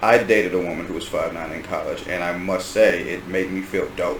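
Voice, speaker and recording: A man with an American accent, hardly any pauses, noticeable background noise and audible room echo. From Washington DC area. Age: 30s. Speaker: podcast host. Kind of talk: casual chat. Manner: animated.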